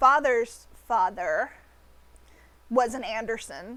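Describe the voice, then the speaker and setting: Lively intonation from a woman with a fairly high pitch, at a very slow pace. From United States. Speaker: artist streamer. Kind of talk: casual chat. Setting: live stream. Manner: hesitant, many fillers.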